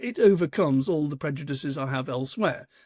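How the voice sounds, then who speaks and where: On a very clean, silent-background recording with a dry, close sound and no echo, a man speaks at a fairly quick pace with lively intonation and a dark, mellow tone. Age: 70s. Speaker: author and football fan. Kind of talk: interview. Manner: halting, repeats words.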